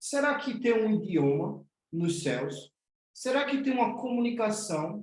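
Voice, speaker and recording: A man with a northeastern Brazilian accent speaks at a high pitch. His pitch swings very widely at a fairly slow pace. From Northeast Brazil. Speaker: spiritual teacher. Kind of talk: online class.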